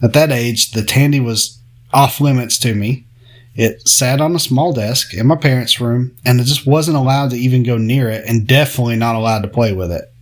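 Speaking at a fairly quick pace with ordinary pitch variation, a man has an unremarkable speaking voice. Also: medium pitch for a man. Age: 30s. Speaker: podcast host. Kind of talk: casual monologue.

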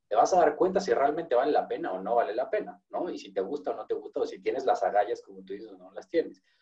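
A man with a Mexican accent speaks at a very fast pace with hardly any pauses and big swings in loudness. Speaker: podcast host. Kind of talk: interview.

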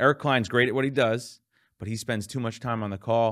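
Here a man speaks at a medium pitch. The recording is very clean, with a silent background. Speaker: podcast host. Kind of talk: podcast interview. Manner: enthusiastic.

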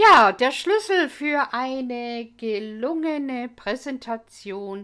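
The voice speaks at a very slow pace with an English accent and very wide pitch swings on a very clean recording with a silent background. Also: woman. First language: English (speaking German). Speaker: English language teacher. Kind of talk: educational monologue.

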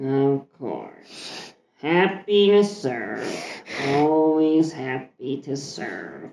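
A put-on character voice drags along at a very slow pace. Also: man, fairly high pitch for a man. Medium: actual play. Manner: dry, off-putting, sullen.

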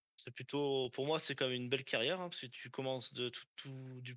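Speaking at a fairly quick pace in a medium pitch, a man has a normal speaking voice with fairly even intonation. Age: 20s. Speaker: aerospace factory worker. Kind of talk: casual interview.

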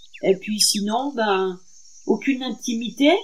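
At a very slow pace, a woman talks in a fairly high, somewhat breathy voice with lively intonation. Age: 60s. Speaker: former prisoner. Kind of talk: testimony. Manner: halting.

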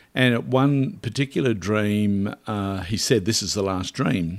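A man's fairly low voice shows ordinary pitch variation, captured in a very clean recording against a silent background. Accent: Australian. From rural Queensland, Australia. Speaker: author. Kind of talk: interview. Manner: halting.

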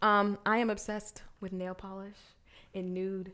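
On a very clean recording with a silent background, a woman with an American accent speaks in a monotone, flat intonation. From Arizona (Glendale). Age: 30s. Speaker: podcast co-host. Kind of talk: casual chat.

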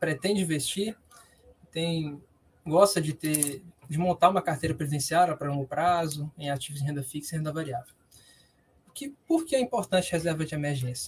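A man with a high-pitched voice. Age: 20s. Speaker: university student and investment consultant. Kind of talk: interview answers, explanatory.

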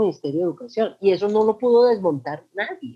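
A woman with an unremarkable speaking voice, medium in pitch, with lively intonation at a moderate pace over a quiet background. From Colombia, Manizales. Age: 40s. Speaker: LGBTI activist. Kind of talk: interview. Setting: video call.

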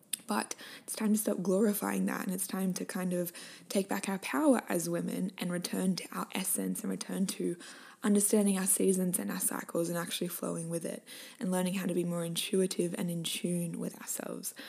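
A woman's medium-pitched, animated and enthusiastic voice at a fairly quick pace, with noticeable background noise. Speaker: podcast host and health coach. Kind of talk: casual interview chat. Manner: animated, enthusiastic.

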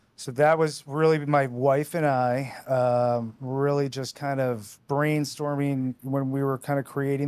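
A man with a normal speaking voice talks at a medium pitch with fairly even intonation, the sound dry and close with no echo. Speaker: podcast host and treatment center founder. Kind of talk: podcast interview.

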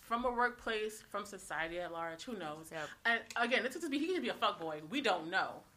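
A woman talks at a moderate pace with very wide pitch swings. Noticeable background noise runs behind her. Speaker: podcast co-host. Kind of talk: casual chat. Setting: lives in New York.

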